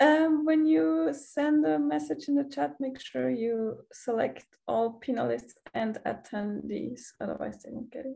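A woman with a German accent, fairly high-pitched with a dark, mellow tone, fairly slow yet with hardly any pauses, with very wide pitch swings and big swings in loudness. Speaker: student event organizer and moderator. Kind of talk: event moderation. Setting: video call.

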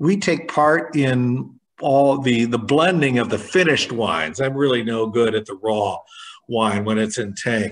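A man with a General American accent speaks with lively intonation. The background is quiet. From Michigan, USA. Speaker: wine auctioneer and winery owner. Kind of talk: interview answer. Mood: relaxed, thoughtful. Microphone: video call.

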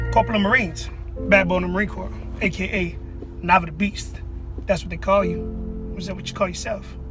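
A man at a very fast pace, dry sound with no echo, clear music in the background. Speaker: former drill instructor. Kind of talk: casual vlog challenge talk. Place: car. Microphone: phone near.

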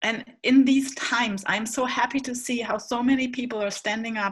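With a German accent, a woman speaks at a moderate pace in a fairly high pitch and fairly even intonation against a quiet background. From Hamburg, northern Germany; Germany. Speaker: panelist. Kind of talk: panel presentation. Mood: warm, earnest. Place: home room. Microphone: webcam.

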